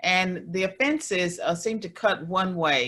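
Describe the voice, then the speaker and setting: At a moderate pace, a woman with an American accent speaks at a fairly low pitch. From US South, Virginia. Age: 60s. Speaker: former professor and political commentator. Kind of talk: webinar talk. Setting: video call. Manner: frequent hesitations.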